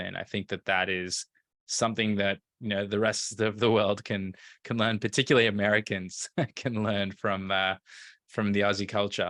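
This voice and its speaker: On a very clean recording with a silent background and a dry, close sound with no echo, a man speaks at a moderate pace in a fairly low, bright, sharp voice with fairly even intonation. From Australia, Melbourne. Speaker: entrepreneur. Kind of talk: podcast interview. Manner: halting, many fillers.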